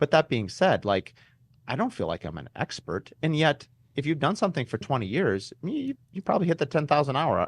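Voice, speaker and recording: Vocal fry marks this fairly quick delivery, which has very wide pitch swings and dry, close sound with no echo. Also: man, fairly high pitch for a man. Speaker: custom home builder and podcast host. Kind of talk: podcast interview. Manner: fast; animated.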